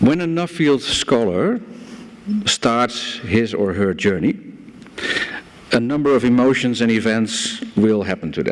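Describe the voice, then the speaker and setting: A man with a Dutch accent, very wide pitch swings, a fairly slow pace, long and frequent pauses, and noticeable background noise. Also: medium pitch for a man. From Netherlands, Amsterdam. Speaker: banker and conference speaker. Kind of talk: conference speech.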